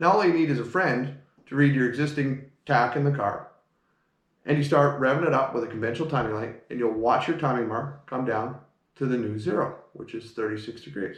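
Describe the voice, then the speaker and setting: In a room with audible echo, a man talks at a fairly quick pace in a medium pitch, sounding somewhat breathy. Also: ordinary pitch variation. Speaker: car mechanic. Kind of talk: tutorial. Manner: fast.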